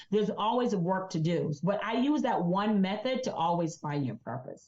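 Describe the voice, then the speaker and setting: A woman speaks at a moderate pace in a medium pitch, a little breathy. Her pitch swings very widely. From Jamaica. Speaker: insurance agent and business coach. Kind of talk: interview.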